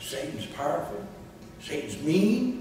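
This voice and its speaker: Very slow speech from a man, wrapped in strong room echo. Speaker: preacher. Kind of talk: sermon. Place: church.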